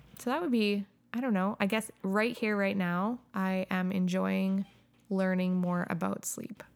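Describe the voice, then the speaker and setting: Using a normal speaking voice, a woman talks fairly slowly at a medium pitch with fairly even intonation. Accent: Canadian. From Calgary, Canada. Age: 30s. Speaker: substitute teacher and new mother. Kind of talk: casual chat.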